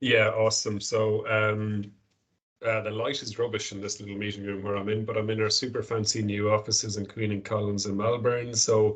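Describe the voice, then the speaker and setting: A man with an Irish accent speaks in a fairly low voice with a flat, monotone delivery. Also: fairly quick pace. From Ireland, Galway. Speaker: company director. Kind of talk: corporate presentation on video call. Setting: video call from small meeting room.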